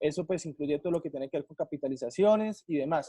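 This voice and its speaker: Dark and mellow in tone, a man talks at a very fast pace in a dry, close sound with no echo. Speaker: tax training instructor. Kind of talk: online training session.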